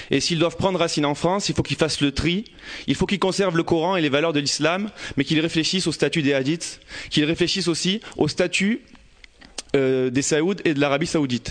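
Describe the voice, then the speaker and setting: This man has an unremarkable speaking voice, pitched fairly high. His loudness stays very even, and his pitch varies in an ordinary way. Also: fairly quick pace. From Marseille, northern districts. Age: 20s. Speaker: audience member speaking. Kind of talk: personal testimony. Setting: stage with audience.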